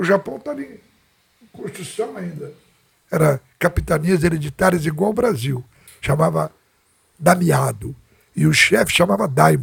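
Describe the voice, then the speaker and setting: A man with a fairly high voice and vocal fry talks at a moderate pace, pausing long and often. His intonation is lively, and his loudness swings widely. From Brazil, rural interior. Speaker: jiu-jitsu master. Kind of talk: interview, storytelling.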